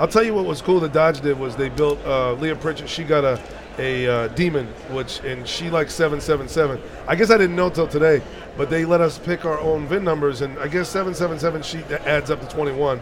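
A man with an American accent, fairly high-pitched, talking very fast with ordinary pitch variation over noticeable background noise. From New Jersey. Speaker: car customizer and TV personality. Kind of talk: casual interview. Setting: trade show booth.

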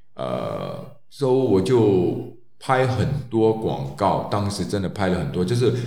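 A man speaks very slowly at a fairly low pitch, with very wide pitch swings. Audible room echo and noticeable background noise fill the recording. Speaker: former male model. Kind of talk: solo storytelling podcast. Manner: halting, many fillers.

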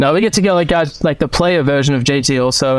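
Speaking at a fairly quick pace, this man has an Australian accent. The voice belongs to a man. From Melbourne, Australia. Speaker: golf equipment tour rep. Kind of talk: casual chat.

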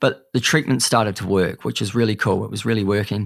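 A man speaks with a New Zealand accent. His pitch is fairly low and his intonation fairly even. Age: 30s. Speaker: cancer survivor and speaker. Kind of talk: casual chat.

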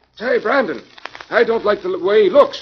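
In a put-on character voice, a man speaks high for a man, with a husky, rough edge and lively intonation. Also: moderate pace.

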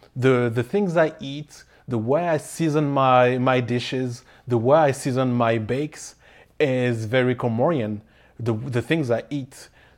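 A man with a French accent speaks at medium pitch with ordinary pitch variation, in a very clean recording with a silent background. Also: fairly slow pace. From Paris, France. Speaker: pastry chef and baking teacher. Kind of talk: casual interview.

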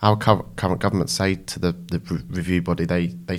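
A man speaks at a very deep, low pitch with vocal fry. His pitch varies in an ordinary way. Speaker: mental health nurse, activist. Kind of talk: interview conversation. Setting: studio.

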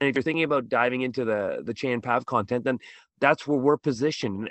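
Using an unremarkable speaking voice, a man talks at a fairly quick pace with medium pitch and ordinary pitch variation. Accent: Canadian. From Canada, Toronto. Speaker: middle school teacher, podcast host. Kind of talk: podcast interview.

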